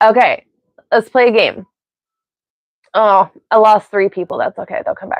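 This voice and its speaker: A woman with an American accent speaks at a moderate pace, leaving long, frequent pauses. Her loudness swings widely, and the sound is dry and close with no echo. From US, Pennsylvania and Ohio. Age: 40s. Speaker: live streamer. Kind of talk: casual live stream chat. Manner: rambling, tangential.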